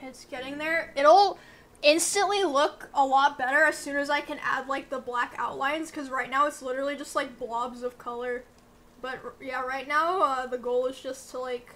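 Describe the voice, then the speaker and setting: A high-pitched woman at a moderate pace, with fairly even intonation. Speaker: live streamer. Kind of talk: casual stream chat. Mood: playful, joking. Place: home room.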